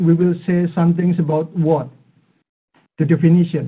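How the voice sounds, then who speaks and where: A man with an Indonesian accent speaks at a high pitch. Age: 40s. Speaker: AI and robotics expert speaker. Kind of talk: online talk. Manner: hesitant, many fillers. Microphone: too quiet, headset.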